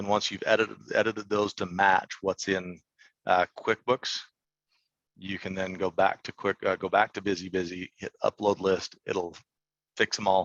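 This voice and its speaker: The man's voice sits fairly low, with monotone, flat intonation. The sound is dry and close, with no echo. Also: moderate pace, quiet background. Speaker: software product expert. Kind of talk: webinar tutorial. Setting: online webinar. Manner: halting, many fillers.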